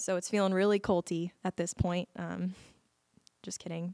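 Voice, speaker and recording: A woman's medium-pitched, monotone voice with an American accent, at a moderate pace, dry and close with no echo, on a very clean recording over a silent background. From Las Vegas, Nevada. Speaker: church member. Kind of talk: testimony.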